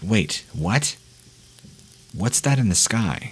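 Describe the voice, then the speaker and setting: A man puts on a shaky character voice at a medium pitch. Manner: shaky, frightened.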